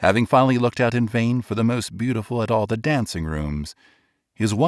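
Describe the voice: Against a quiet background, plain reading aloud and lively intonation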